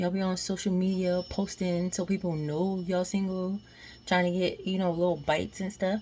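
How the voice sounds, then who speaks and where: Quiet and somewhat breathy, a woman speaks in a dark, mellow tone. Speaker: vlogger. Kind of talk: casual vlog monologue. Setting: at home washing dishes at night. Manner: quiet, trying to be low; animated, conversational.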